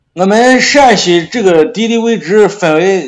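A man speaks with a slight Shaanxi accent. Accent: slight Shaanxi (Xianyang). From Xianyang, Shaanxi, China. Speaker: barbecue restaurant owner. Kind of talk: casual chat.

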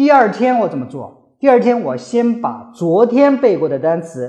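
This man's tone is dark and mellow. His pitch swings very widely. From China. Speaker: podcast host. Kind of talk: solo talk giving English-learning advice. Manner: hesitant, many filler sounds.

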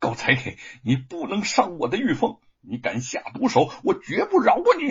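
Using a put-on character voice, a man speaks at a high pitch with a husky, rough edge, very wide pitch swings and a moderate pace.

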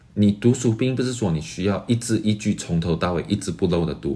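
With vocal fry and a dark, mellow tone, a man talks at a moderate pace in a very deep, low voice that swings very widely in pitch. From Malaysia. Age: 20s. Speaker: graduate student and entrepreneur. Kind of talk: interview.

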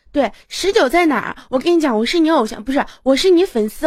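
Lively intonation carries a woman's speech as she talks at a very fast pace. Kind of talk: birthday greeting on a live stream.

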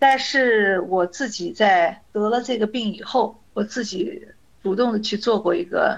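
A woman speaks with a fairly high pitch in a plain, everyday voice. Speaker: teacher and cancer patient. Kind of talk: interview.

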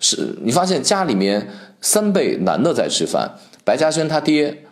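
This man's voice carries vocal fry and swings very widely in pitch. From Shaanxi, Guanzhong. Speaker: podcast host, food commentator. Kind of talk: solo podcast monologue.

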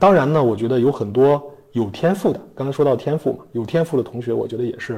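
Very fast delivery in a dark, mellow tone with ordinary pitch variation. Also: man, medium pitch for a man. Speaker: designer turned entrepreneur, executive. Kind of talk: interview answers. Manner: hesitant, many fillers.

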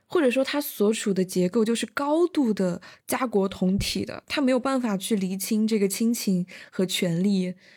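A woman speaks in a normal speaking voice, fairly high in pitch with lively intonation, at a moderate pace. The recording is very clean, with a silent background. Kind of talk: casual chat. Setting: university dorm during campus lockdown.

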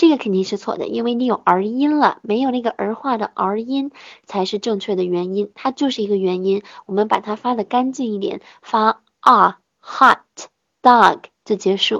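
Speaking at a moderate pace, a woman uses a fairly high pitch with ordinary variation. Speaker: English pronunciation teacher. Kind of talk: online lesson. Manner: raised, tense voice when speaking English.

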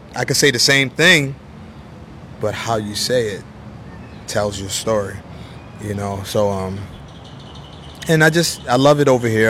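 The speaker talks at a moderate pace with an American accent. Background noise is noticeable behind the voice. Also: man. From US, Baltimore. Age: 40s. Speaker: jazz saxophonist and teacher. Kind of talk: casual interview.

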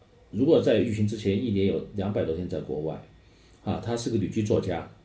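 A man's dark, mellow voice with vocal fry, at a fairly quick pace, with audible room echo. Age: 40s. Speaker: manager of a renovated cultural district. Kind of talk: interview. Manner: halting.

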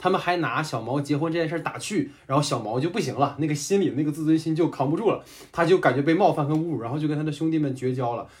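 A man with a fairly high, somewhat breathy voice talks at a very fast pace. His pitch varies in an ordinary way. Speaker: podcast host and moderator. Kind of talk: casual chat. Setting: remote online recording.

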